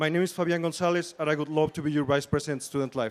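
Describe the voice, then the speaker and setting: Talking at a very fast pace, a man with a Spanish accent uses a fairly high pitch and fairly even intonation. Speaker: student election candidate. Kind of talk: campaign debate speech. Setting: stage with audience.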